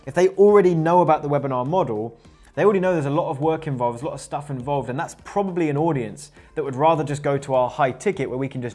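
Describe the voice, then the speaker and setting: A man speaks very fast in a fairly high voice. His pitch varies in an ordinary way, with music playing in the background. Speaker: online marketing coach. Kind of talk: business tutorial vlog. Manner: casual, with fillers and repeated words.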